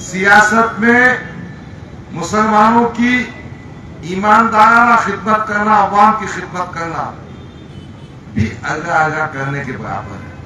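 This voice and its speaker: A man projects a raised voice with high pitch and ordinary pitch variation, his loudness swinging widely. Long, frequent pauses break up his speech amid audible room echo and noticeable background noise. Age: 60s. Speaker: politician. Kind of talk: political rally speech. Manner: animated.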